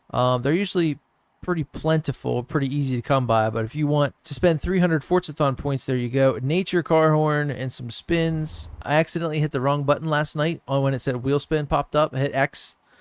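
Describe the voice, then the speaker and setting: Recorded dry and close with no echo, a man with a slight Southern accent speaks at a fairly high pitch with fairly even intonation. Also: fairly quick pace, very clean recording, silent background. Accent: slight southern twang. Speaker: gaming YouTuber. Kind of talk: gameplay commentary. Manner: casual, conversational.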